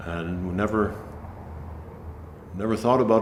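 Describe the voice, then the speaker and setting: A man with an American accent speaks at a fairly quick pace with ordinary pitch variation, and the room echo is audible. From New Hampshire, US. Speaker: folk musician. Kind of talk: casual chat.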